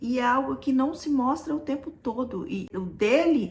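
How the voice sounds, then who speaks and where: The speech comes at a fairly slow pace in a Brazilian accent, with ordinary pitch variation. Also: woman. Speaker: vlogger. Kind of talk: personal story told to camera.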